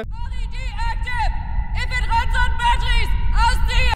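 Extremely high pitch and a fairly slow pace in a man's put-on character voice. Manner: screaming, shouting.

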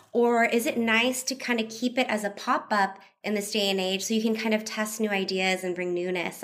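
On a very clean recording with a silent background, a woman with a plain, everyday voice speaks fairly quickly at a medium pitch with ordinary pitch variation. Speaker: podcast co-host. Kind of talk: casual interview chat.

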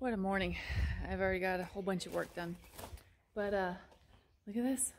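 A woman talks with ordinary pitch variation. There is light background noise. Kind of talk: casual vlog chat. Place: open country. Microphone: phone near.

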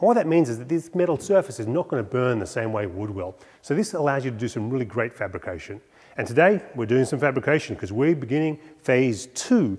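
A man's fairly quick speech comes through over a quiet background. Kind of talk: tongue-in-cheek tutorial talk. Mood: playful, mock-serious. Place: workshop.

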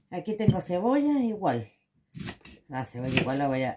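Loud background noise surrounds the recording. A woman speaks over it at a moderate pace. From Chile. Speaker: home cooking video host. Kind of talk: cooking tutorial. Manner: casual, chatty. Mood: chatty, joking. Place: kitchen. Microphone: phone near.

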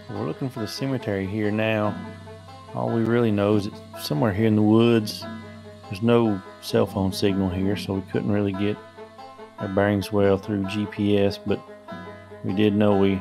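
Moderate pace with long, frequent pauses over clear music in the background. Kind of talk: casual vlog narration. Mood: calm, curious. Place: forest.

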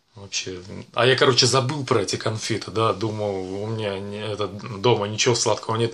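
A man is speaking. His pace is moderate and his intonation fairly even. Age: 40s. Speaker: vlogger, actor doing shoots; vlogger. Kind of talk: casual vlog monologue. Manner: casual, filler-heavy. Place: home room. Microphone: webcam.

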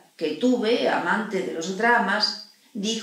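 A natural reading voice carries the clip.

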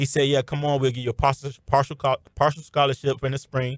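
The speech moves at a very fast pace, with a dry, close sound with no echo and a very clean recording with a silent background. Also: man. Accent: American. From Miami, Florida. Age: 20s. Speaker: arena football wide receiver. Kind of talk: radio interview. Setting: radio studio.

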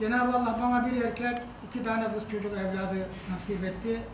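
With noticeable background noise and audible room echo, a man speaks at a moderate pace in an extremely high pitch with a monotone, flat intonation. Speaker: husband celebrating anniversary. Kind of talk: speech to family at anniversary dinner. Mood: warm, reflective, grateful. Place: hall. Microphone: camera far.

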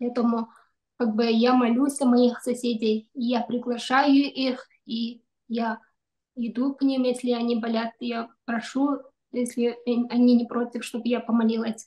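Very slow and flat, a woman speaks in a monotone. Her tone is dark and mellow at a high pitch. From Kyrgyzstan. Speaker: doctor; webinar host, speaker. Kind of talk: prayer; prayer and presentation talk. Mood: calm, earnest. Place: home room. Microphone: video call.

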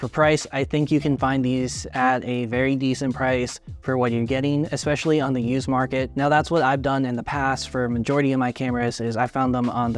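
With faint music in the background and a dry sound with no echo, a man talks at a fairly quick pace with fairly even intonation. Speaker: camera reviewer. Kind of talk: review talk to camera. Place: home room.

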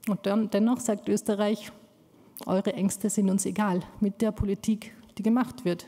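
The voice is dark and mellow, somewhat breathy, and monotone and flat, moving at a fairly slow pace with very even loudness. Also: woman, medium pitch for a woman. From Afghanistan, raised in Austria. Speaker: community activist; speaker. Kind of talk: speech. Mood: earnest, emotionally engaged. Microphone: podium.

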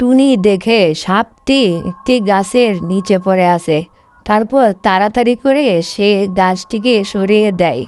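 A woman speaks with a slightly mellow tone. Her pitch varies in an ordinary way. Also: medium pitch for a woman, fairly slow pace.

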